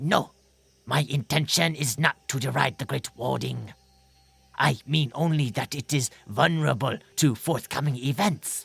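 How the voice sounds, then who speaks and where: At a moderate pace and low-to-middle pitch, a put-on character voice plays over faint music in the background. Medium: read story. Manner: earnest, careful, nervous.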